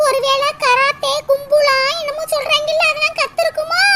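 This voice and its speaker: Squeaky and cartoonish, this woman's character voice moves at a fairly slow pace with lively intonation. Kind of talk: comic cartoon acting. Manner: fawning, wheedling.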